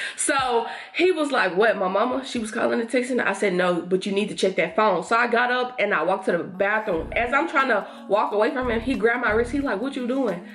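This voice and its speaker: Her fairly high-pitched voice comes through noticeable background noise and audible room echo. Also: ordinary pitch variation, fairly quick pace. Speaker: lifestyle YouTuber. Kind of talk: storytime while doing makeup. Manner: fast; animated.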